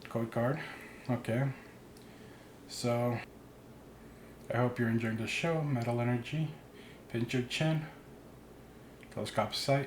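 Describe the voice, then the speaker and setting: Pausing long and often, a somewhat breathy man speaks at a fairly slow pace, with a medium pitch and fairly even intonation. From immigrant, grew up abroad. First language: not English. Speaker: card opening YouTuber. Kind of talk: pack opening commentary. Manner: casual.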